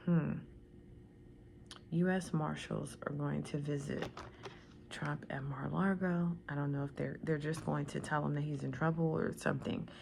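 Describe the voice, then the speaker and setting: Soft-spoken, a woman with an American accent leaves long, frequent pauses, and audible room echo surrounds her words. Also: moderate pace. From Washington DC area. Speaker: tarot reader. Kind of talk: tarot reading. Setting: at home.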